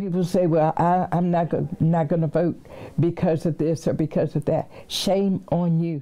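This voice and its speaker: A woman with a fairly low pitch keeps a monotone, flat intonation and very even loudness at a moderate pace. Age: 80s+. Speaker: civil rights activist. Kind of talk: interview. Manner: halting.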